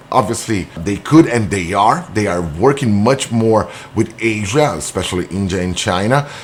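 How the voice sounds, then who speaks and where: A man talks at a moderate pace with a Brazilian accent. His fairly low voice carries lively intonation. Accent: non-native English, Brazilian. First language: Portuguese. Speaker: business owner. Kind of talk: explainer monologue. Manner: halting.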